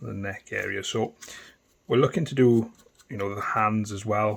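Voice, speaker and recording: A man with a fairly low voice speaks in a strong Welsh accent. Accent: thick Welsh. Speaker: miniature painting tutor. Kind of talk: tutorial. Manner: casual, hesitant with ums.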